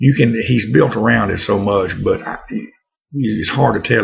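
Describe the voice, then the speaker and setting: The speaker talks at a moderate pace with a relaxed tone in a North Louisiana accent. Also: man. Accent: North Louisiana accent, sticks out. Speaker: pipe smoking vlogger. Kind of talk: casual vlog monologue. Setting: home. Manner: relaxed, halting with fillers.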